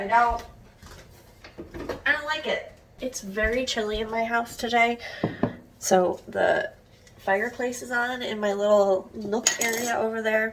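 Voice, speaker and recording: A woman's fairly high voice, fairly slow and fairly even in intonation, broken by long, frequent pauses over noticeable background noise. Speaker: book vlogger. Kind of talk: casual vlog talk. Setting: at home.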